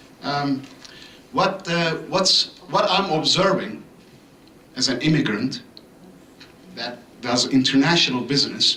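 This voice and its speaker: A man speaking at a fairly slow pace with ordinary pitch variation, noticeable background noise and audible room echo. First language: not English. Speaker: resident speaking at public comment. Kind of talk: public comment at council meeting. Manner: halting, many fillers.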